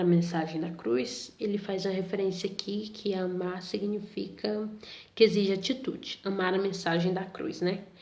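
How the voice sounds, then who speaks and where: A woman talks at a fairly slow pace with a medium pitch and fairly even intonation. Audible room echo surrounds her voice. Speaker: Sunday school teacher. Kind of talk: Bible lesson for youth.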